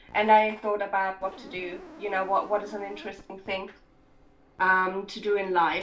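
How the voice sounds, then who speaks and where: Speech from a woman moves at a moderate pace. Noticeable background noise is present, along with audible room echo. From Scotland. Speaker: writer and filmmaker. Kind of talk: interview. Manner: hesitant.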